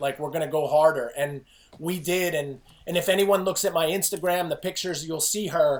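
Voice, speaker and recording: With an American accent, a man with a high pitch talks in an animated tone at a fairly quick pace against noticeable background noise. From New Jersey, near New York City. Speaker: fitness coach and author. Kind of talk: podcast interview.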